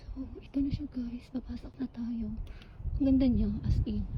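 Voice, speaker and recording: This woman's voice has a fairly high pitch. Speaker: travel vlogger. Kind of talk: casual vlog. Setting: outdoors and temple, alone. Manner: soft-spoken.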